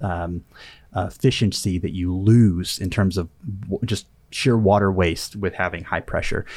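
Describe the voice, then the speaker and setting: A man speaks with an American accent at a moderate pace. His intonation is fairly even, and the recording is very clean with a silent background. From Northwest Arkansas, then Oklahoma. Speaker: extension educator. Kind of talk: casual interview discussion.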